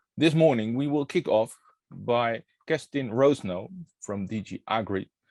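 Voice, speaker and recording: A man with a Dutch accent, dry and close with no echo, against a quiet background. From Netherlands. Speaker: workshop moderator. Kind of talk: online workshop opening. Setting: online workshop.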